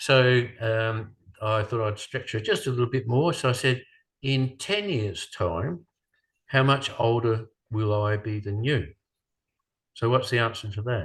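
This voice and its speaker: A man's somewhat breathy voice at medium pitch, fairly slow and broken by long, frequent pauses, with ordinary pitch variation over a quiet background. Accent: Australian. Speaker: speaker. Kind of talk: lecture. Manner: halting.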